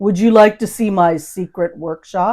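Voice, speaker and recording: Using a put-on character voice, a woman speaks at a medium pitch and a moderate pace. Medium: read story. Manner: playful, teasing.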